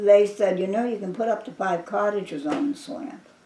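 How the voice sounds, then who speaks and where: A woman's medium-pitched voice at a moderate pace with lively intonation, amid noticeable background noise. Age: 80s+. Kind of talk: oral history interview answer. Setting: home kitchen. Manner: casual, rambling, halting.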